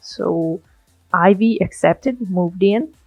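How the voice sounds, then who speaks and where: Someone with a non-native accent speaks at a very slow pace with music in the background. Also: woman. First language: not English. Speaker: gaming YouTuber. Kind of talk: casual let's play commentary.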